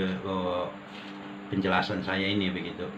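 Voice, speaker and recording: There is audible room echo and noticeable background noise as a man with a very deep, low voice talks at a fairly slow pace. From North Sumatra, South Tapanuli (Batak). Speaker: guest sharing religious testimony. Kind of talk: testimony. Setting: at a friend's house. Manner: hesitant, many fillers.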